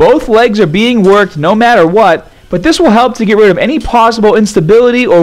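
At a fairly quick pace and with hardly any pauses, a man with a high pitch speaks with ordinary pitch variation. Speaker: fitness trainer. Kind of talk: tutorial.

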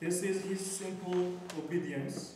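A man's high-pitched voice at a very slow pace, with light background noise and strong room echo. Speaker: conference speaker. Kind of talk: lecture. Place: hall.

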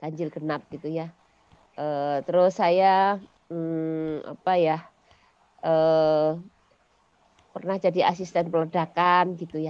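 With long, frequent pauses, a woman speaks very slowly in a fairly low, monotone, flat voice. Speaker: school founder and former mining engineer; podcast guest, educator. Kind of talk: interview. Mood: cheerful, smiling. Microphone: headset.

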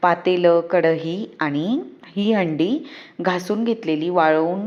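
Medium pitch from a woman, with ordinary variation in how it moves. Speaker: lifestyle vlogger. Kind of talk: casual vlog narration. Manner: speaking louder than usual.

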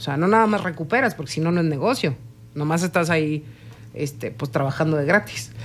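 A woman's very deep, low pitch with lively intonation at a fairly quick pace. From Mexico. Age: 40s. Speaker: chef; interview guest. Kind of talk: interview. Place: studio. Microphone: studio mic.

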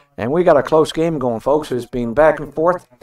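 A man's fairly high voice, a normal speaking voice, with ordinary pitch variation. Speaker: curling commentator. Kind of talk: live curling commentary. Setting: broadcast booth. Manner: easygoing, conversational, analytical.

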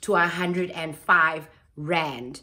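The tone of this woman's voice is bright and sharp. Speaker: lifestyle vlogger. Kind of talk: casual haul vlog chat. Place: home room. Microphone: phone near.

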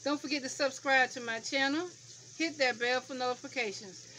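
Over light background noise, a woman speaks in a raised, projected voice. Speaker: home cooking vlogger. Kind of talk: casual vlog chat. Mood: playful, laughing. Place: kitchen. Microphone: phone near.

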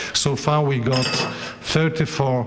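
The speaker is a man with a Polish accent. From Poland. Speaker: academic official; host giving welcome address. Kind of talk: welcome address; formal welcome speech. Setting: conference room with audience. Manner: halting. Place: hall. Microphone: podium.

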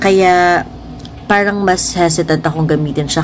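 A woman with a Filipino accent speaks at a moderate pace in a very deep, low pitch with fairly even intonation. Noticeable background noise and audible room echo fill the recording. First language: Tagalog. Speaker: beauty vlogger. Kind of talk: makeup review tutorial.

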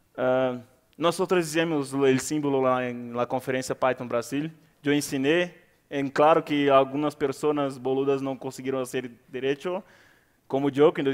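This man's voice sits fairly high in pitch, moving at a moderate pace with fairly even intonation and long, frequent pauses over a quiet background. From Brazil. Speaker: conference speaker, Python community organizer; conference speaker. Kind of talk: conference talk. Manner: halting, with frequent fillers. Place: hall.

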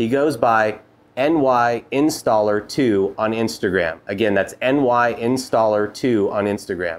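The speech unfolds at a very slow pace with ordinary pitch variation. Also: man. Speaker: podcast host. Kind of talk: casual interview. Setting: studio. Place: garage.

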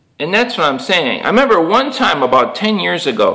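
Over a quiet background, a man talks at a moderate pace, his pitch swinging very widely. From Chicago. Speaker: YouTube MMA commentator; vlogger. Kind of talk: solo monologue / rant. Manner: rambling, repetitive, with fillers. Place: home room. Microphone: webcam.

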